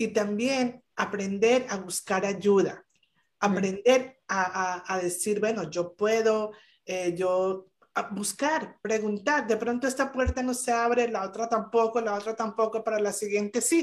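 This woman speaks in a Colombian accent at a fairly slow pace and a fairly high pitch. Her pitch varies in an ordinary way, while her loudness swings widely. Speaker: business owner. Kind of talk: live interview. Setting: video call.

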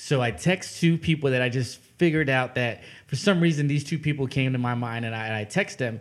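This man has a normal speaking voice at medium pitch, with ordinary pitch variation, a fairly quick pace and hardly any pauses. The recording is very clean, with a silent background. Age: 20s. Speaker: podcast host. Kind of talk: casual interview chat.

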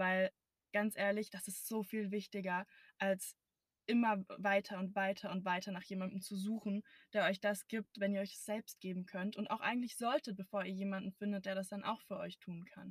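Flat, monotone intonation carries a woman's somewhat breathy voice at a moderate pace. The sound is dry and close, with no echo. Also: medium pitch for a woman. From Brandenburg, Germany. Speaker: podcast co-host. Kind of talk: casual chat. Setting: in a car.

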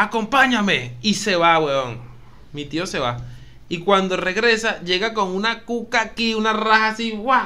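A man's raised, projected voice with lively intonation, plus noticeable background noise. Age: 30s. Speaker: podcast co-host. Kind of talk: casual chat.

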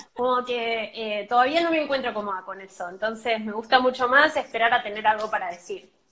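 Hardly pausing, a woman with a fairly high pitch and a bright, sharp tone shows ordinary pitch variation and big swings in loudness. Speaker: film and series communicator. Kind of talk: interview. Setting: live stream.

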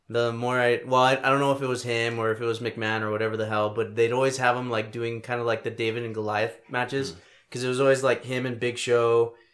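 Speaking very fast with hardly any pauses, a man with an American accent keeps a monotone, flat intonation. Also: medium pitch for a man. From El Paso, Texas. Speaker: podcast host. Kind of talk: mock wrestling ring-announcer intro, podcast opening.

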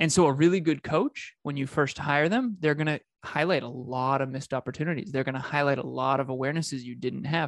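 In a normal speaking voice, a man with a fairly high pitch talks at a fairly quick pace with fairly even intonation, recorded dry and close with no echo against a quiet background. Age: 30s. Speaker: business coach. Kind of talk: casual chat.

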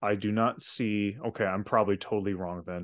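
A man with a plain, everyday voice speaks at a moderate pace, his fairly low pitch carried in fairly even intonation over a quiet background. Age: 20s. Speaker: podcast co-host, filmmaker. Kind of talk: casual chat.

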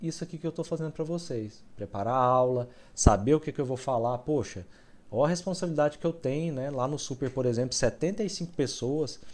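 Fairly quick, fairly high-pitched speech from a man, with ordinary pitch variation. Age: 40s. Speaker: trading educator, former dentist. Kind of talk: live-stream lecture to viewers. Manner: casual, animated.

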